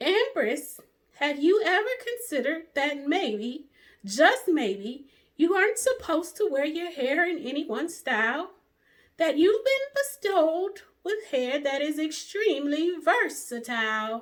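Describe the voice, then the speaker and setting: A woman puts on a character voice at an extremely high pitch, in a gentle tone. She swings her pitch very widely and talks at a fairly slow pace. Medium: read story. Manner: gentle, reassuring.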